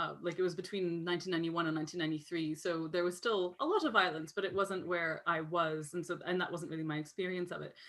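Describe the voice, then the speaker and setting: A woman with a Canadian accent talks at a fairly low pitch with fairly even intonation. The recording is very clean, with a silent background. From Canada, Lebanese family. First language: Arabic. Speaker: author. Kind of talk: conference interview. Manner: hesitant, many fillers.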